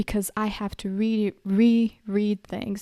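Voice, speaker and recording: A woman with a southern European accent speaks in a dark, mellow tone with monotone, flat intonation, the sound dry and close with no echo on a very clean recording with a silent background. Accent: light southern European accent in English. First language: a southern European language. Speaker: podcaster. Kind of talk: personal reflection monologue. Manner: conversational with frequent fillers.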